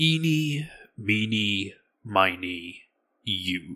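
Gruff and fairly low in pitch, a man puts on a character voice.

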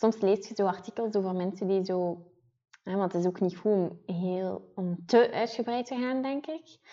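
A woman with a Ghent accent, medium pitch, ordinary pitch variation and a fairly slow pace. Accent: noticeable Ghent Flemish. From Ghent, Belgium. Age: 20s. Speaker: podcast co-host, beauty PR manager. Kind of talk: casual chat.

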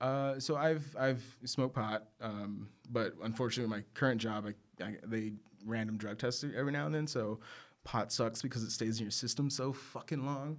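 In a very clean recording with a silent background, a man with an American accent speaks in a plain, everyday voice at medium pitch and a moderate pace, with ordinary pitch variation. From Texas, San Angelo (West Texas). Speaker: photographer. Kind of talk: casual chat. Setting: studio.

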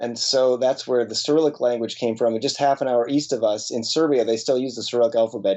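Using fairly even intonation, a man with an American accent talks at a very fast pace and a medium pitch. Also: hardly any pauses. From US Midwest, Wisconsin. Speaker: missionary. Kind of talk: interview.

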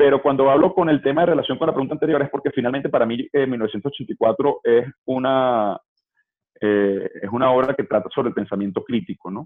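In a normal speaking voice, a man talks fairly quickly at a medium pitch with ordinary pitch variation. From Venezuela. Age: 30s. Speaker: political campaign organizer. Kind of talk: interview conversation.

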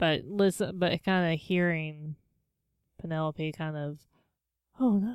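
The recording is very clean, with a silent background. A woman with a fairly low pitch and ordinary pitch variation speaks at a fairly slow pace, leaving long, frequent pauses. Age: 30s. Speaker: podcast co-host. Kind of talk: casual chat.

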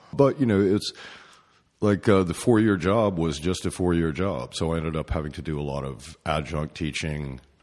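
A man with a very deep, low pitch speaks with lively intonation. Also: moderate pace, quiet background. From East Tennessee. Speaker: painter. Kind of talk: interview. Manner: halting.

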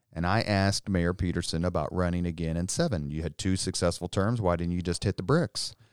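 In a very clean recording with a silent background and a dry, close sound with no echo, a man with an American accent and a very deep, low pitch talks at a fairly quick pace with fairly even intonation and hardly any pauses. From Indianapolis, Indiana. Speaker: political communications consultant and army veteran. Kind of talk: casual interview.

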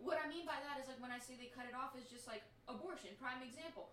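A woman's raised, projected voice at a high pitch, very fast pace and ordinary pitch variation, with noticeable background noise and audible room echo. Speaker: podcast host. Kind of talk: casual chat.

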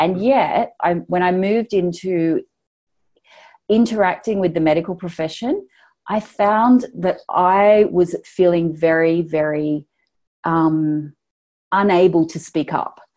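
Very slow and marked by long, frequent pauses, a woman speaks with an Australian accent in a dark, mellow tone. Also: fairly low pitch for a woman, ordinary pitch variation. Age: 40s. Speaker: online business founder and feminist writer. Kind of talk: casual interview.

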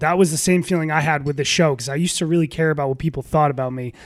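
A man with a normal speaking voice, pitched fairly high. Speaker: sports podcast host. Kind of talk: casual chat. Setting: guest's apartment.

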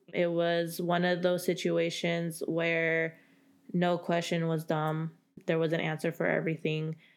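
A woman's fairly low voice, monotone and flat, at a fairly slow pace with very even loudness, on a very clean recording with a silent background. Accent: American. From California, Central Valley. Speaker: college diversity program coordinator. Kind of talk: podcast interview.

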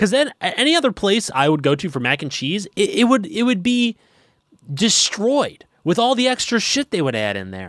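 Moderate speed, very clean recording, completely silent background. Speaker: podcast co-host. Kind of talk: casual chat.

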